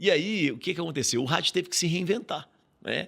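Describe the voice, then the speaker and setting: A man speaks with a bright, sharp tone, very wide pitch swings and vocal fry. The recording is very clean with a silent background. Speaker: radio broadcaster and professor. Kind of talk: podcast interview. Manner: animated.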